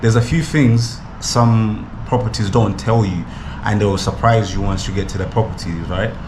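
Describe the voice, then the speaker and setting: A man at medium pitch and moderate pace, with ordinary pitch variation, audible room echo and noticeable background noise. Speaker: travel vlogger. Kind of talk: casual vlog to camera. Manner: mumbling.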